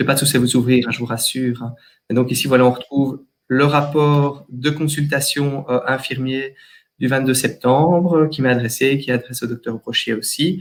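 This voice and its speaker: A man at medium pitch, with a slight Walloon accent, speaks at a moderate pace with fairly even intonation. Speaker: general practitioner. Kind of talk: webinar software demonstration. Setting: online webinar. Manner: hesitant, many fillers.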